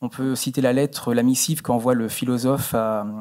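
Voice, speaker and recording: In a quiet background, a man with medium pitch speaks at a moderate pace, his tone dark and mellow and his intonation fairly even. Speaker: musicologist researcher; conference presenter. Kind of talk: conference paper. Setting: auditorium. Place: hall. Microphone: podium.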